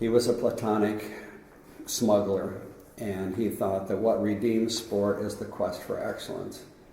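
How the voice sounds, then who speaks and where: Over noticeable background noise and audible room echo, a man speaks at a fairly slow pace in a fairly low, monotone voice with flat intonation. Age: 80s+. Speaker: sport philosopher. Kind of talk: interview. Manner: conversational.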